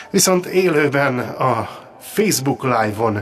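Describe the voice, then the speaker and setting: A man speaks at a very slow pace, his pitch swinging very widely. Music plays in the background. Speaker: radio show host. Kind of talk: casual radio talk show chat. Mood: jokey, good-humoured. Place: studio. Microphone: studio mic.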